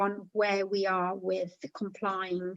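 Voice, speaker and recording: The sound is dry and close with no echo as a woman speaks at a very slow pace. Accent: non-native. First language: not English. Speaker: committee member. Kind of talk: committee meeting. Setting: video call. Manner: halting.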